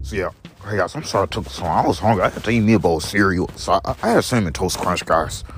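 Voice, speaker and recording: The speaker talks at a very fast pace with lively intonation. Music plays in the background. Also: man, fairly low pitch for a man. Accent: American. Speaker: vlogger. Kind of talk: casual monologue to followers. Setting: outdoors while walking. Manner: repetitive, rambling.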